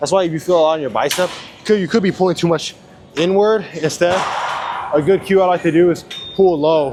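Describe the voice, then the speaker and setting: Fairly quick speech with ordinary pitch variation comes through noticeable background noise. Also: man. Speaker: fitness vlogger. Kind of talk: casual gym vlog. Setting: gym. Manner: casual.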